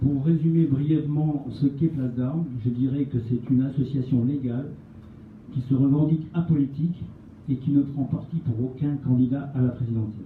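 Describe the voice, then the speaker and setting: A man's plain, everyday voice, fairly high-pitched, at a moderate pace with fairly even intonation. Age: 60s. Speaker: retired army officer, association representative. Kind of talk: prepared speech at a public meeting. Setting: meeting with audience.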